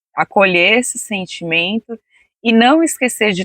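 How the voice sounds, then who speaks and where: A woman's lively intonation comes through in a calm tone. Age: 40s. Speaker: interview guest sharing personal healing story. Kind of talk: casual interview testimony.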